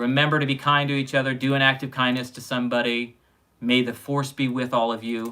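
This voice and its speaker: A man speaks at a medium pitch with an American accent, fairly quickly. His tone is bright and sharp, and his intonation stays monotone and flat. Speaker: sci-fi show review host. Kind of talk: casual chat.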